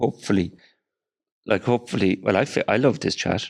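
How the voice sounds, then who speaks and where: Here a man speaks with an Irish accent. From Ireland. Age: 60s. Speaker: film producer. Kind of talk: casual chat. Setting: studio.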